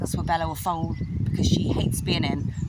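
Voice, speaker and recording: A fairly quick-paced woman's voice with audible echo from the room. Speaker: horse owner vlogger. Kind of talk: casual vlog. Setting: outdoors. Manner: fast.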